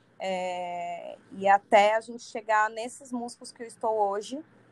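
Fairly slow in pace, an ordinary speaking voice keeps a fairly even intonation. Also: woman. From Santos, São Paulo coast, Brazil. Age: 30s. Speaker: singer. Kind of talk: casual interview chat.

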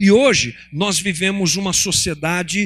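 This raised, projected voice has a bright, sharp tone and lively intonation. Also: man. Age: 50s. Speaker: pastor. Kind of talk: sermon. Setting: church.

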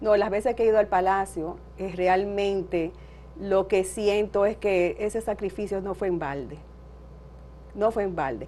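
The woman's tone is dark and mellow, and her intonation fairly even. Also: medium pitch for a woman, fairly slow pace. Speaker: daughter of a revolutionary. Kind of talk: interview.

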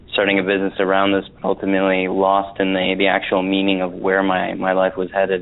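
A man with a very deep, low pitch talks at a very fast pace. Noticeable background noise can be heard. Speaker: wellness teacher. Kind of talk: casual interview chat. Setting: phone call. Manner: relaxed, upbeat.

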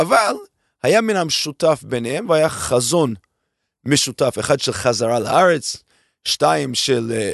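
A man with a non-native accent and vocal fry at a fairly slow pace, his pitch swinging very widely, the sound dry and close with no echo against a quiet background. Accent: foreign accent in Hebrew. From abroad, immigrated to Israel at 22. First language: not Hebrew (speaking Hebrew). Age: 50s. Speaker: venture capital investor. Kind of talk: interview. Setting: studio.

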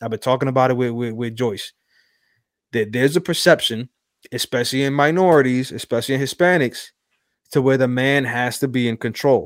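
Dry, close sound with no echo, carrying a man's unremarkable speaking voice at medium pitch, fairly quick and fairly even in intonation. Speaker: podcast host. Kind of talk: casual chat.

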